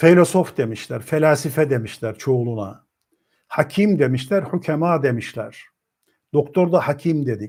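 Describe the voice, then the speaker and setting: A man speaks at a fairly slow pace in a fairly high, somewhat breathy voice. The recording is very clean with a silent background. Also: lively intonation. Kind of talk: lecture.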